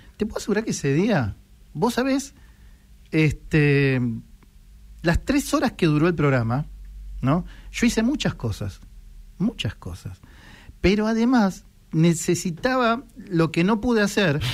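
A man talks in a Rioplatense accent, his high pitch swinging very widely. He moves at a fairly slow pace with long, frequent pauses. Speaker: radio host. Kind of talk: casual chat.

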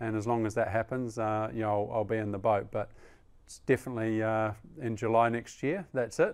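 A man with a New Zealand accent at medium pitch, fairly even in intonation and fairly quick in pace, in a very clean recording with a silent background. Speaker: Olympic rower. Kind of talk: interview. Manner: halting, many fillers; measured.

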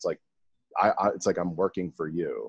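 The sound is dry and close with no echo, set against a quiet background. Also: man. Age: 30s. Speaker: podcast host, retired Muay Thai fighter. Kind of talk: casual interview chat.

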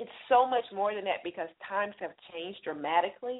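In an ordinary speaking voice, a woman talks at a medium pitch and a fairly quick pace with lively intonation. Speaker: business consultant. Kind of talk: interview.

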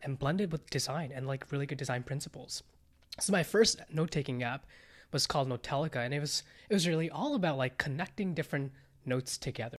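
On a very clean recording with a silent background, a man with an American accent talks at a very fast pace, his voice fairly high and somewhat breathy. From India, then California from age 11. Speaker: startup founder. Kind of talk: casual interview.

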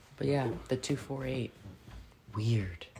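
A fairly brisk female voice, its pitch varying in an ordinary way. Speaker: military veteran, podcaster and parent. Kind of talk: casual chat. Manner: casual, profane, laughing often.

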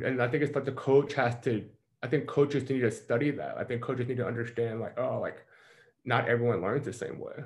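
Speaking with an American accent, a man talks at a very fast pace. His fairly high voice is somewhat breathy. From US South, Mississippi. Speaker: performance coach. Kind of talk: casual interview.

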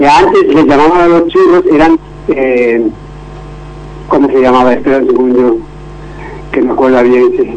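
A man speaks at a moderate pace with very even loudness and long, frequent pauses. Noticeable background noise and audible room echo fill the recording. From Spain, Valencia region (Denia). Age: 50s. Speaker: churro shop owner. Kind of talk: radio interview.

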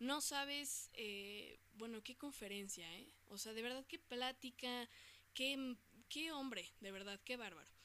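A woman's high, bright, sharp voice with a Mexican accent, very slow in pace, with ordinary pitch variation. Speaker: podcast host. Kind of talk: casual monologue. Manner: animated.

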